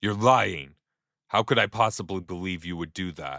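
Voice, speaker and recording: A put-on character voice speaks at a moderate pace and sounds shaky. The recording is very clean, with a silent background. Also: man, very deep, low pitch for a man. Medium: read story. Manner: shaky, bitter.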